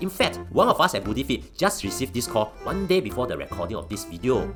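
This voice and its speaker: Very fast speech over music in the background. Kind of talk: explainer narration to camera. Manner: casual, joking.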